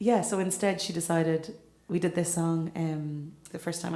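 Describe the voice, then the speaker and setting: A woman with a Monaghan accent speaks at a fairly low pitch. Noticeable background noise and audible room echo fill the recording. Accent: Irish (Monaghan). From Ireland, County Monaghan. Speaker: singer-songwriter. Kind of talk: onstage song introduction. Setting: stage with audience.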